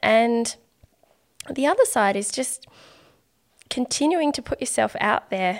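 A woman with an Australian accent speaks at a fairly slow pace with lively intonation on a very clean recording with a silent background. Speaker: artist and podcaster. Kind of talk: casual interview chat.

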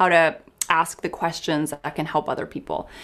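A woman with a Canadian accent talks at a moderate pace in an ordinary speaking voice, fairly low in pitch, on a very clean recording with a silent background. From Canada, small town. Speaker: clinical psychologist. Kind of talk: interview conversation.

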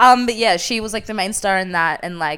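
A woman with a normal speaking voice and ordinary pitch variation is heard in a very clean recording with a silent background. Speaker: podcast host. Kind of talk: casual chat.

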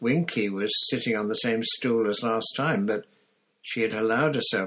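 The background stays quiet. The speaker uses an unforced reading voice.

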